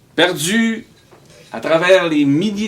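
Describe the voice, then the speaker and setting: A man with a Quebec accent speaks with very wide pitch swings. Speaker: storyteller. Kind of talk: live storytelling performance. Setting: live stage. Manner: energetic, comic.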